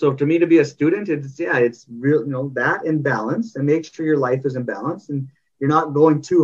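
Using an ordinary speaking voice, a man talks at a fairly quick pace with a fairly high pitch. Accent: Canadian. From Canada. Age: 30s. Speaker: parenting coach. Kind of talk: interview. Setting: video call.

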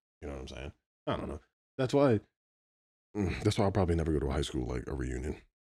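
This man has a very deep, low voice with vocal fry and an American accent. He talks at a very fast pace with lively intonation and long, frequent pauses. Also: big swings in loudness. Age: 30s. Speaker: podcast co-host. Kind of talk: casual chat.

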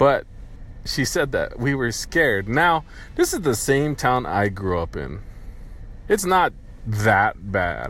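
In an American accent, a man talks at a very slow pace with long, frequent pauses. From US, poor rural county. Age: 30s. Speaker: podcaster. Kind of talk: solo monologue. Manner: casual, halting.

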